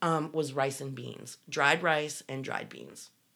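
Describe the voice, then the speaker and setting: A woman with a very deep, low pitch speaks at a fairly slow pace. The recording is very clean, with a silent background. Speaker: podcast co-host, former cult member. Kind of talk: casual chat. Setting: in person at co-host's home. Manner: loud; animated.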